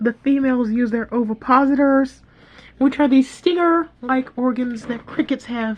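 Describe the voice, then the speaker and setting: Fairly even intonation carries this talk along at a moderate pace. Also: woman. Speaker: YouTuber presenting own fantasy world. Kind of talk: reading aloud with commentary. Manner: casual.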